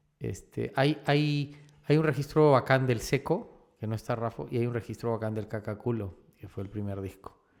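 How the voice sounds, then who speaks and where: He has a normal speaking voice, a man at a medium pitch and moderate pace with ordinary pitch variation. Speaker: actor and director. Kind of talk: casual interview chat.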